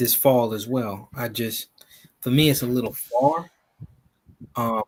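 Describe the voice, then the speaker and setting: With an American accent, a man speaks at a medium pitch and a fairly slow pace with fairly even intonation. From US, Ghanaian family. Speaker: caller. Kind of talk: casual chat. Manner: halting.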